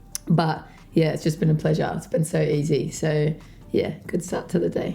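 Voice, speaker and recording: Over music in the background, a woman with an Australian accent speaks fairly quickly in a very deep, low pitch with monotone, flat intonation. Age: 20s. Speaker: dancer and dance teacher. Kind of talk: interview. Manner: casual, hesitant with many fillers.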